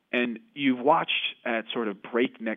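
A man at medium pitch speaks in a normal speaking voice, moving at a moderate pace with ordinary pitch variation. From United States. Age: 20s. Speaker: author. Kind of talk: interview.

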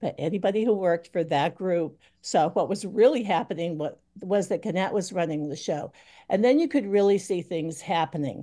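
A woman with a New England accent speaks at a medium pitch and moderate pace, her tone dark and mellow. Her pitch varies in an ordinary way over a quiet background. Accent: New England American. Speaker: retired newspaper editor and publisher. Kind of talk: radio roundtable discussion.

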